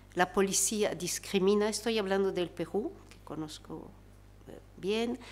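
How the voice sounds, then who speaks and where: A woman with a French accent, medium in pitch with ordinary variation, at a fairly slow pace with big swings in loudness. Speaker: researcher and panelist. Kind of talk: panel talk. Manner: halting, many fillers.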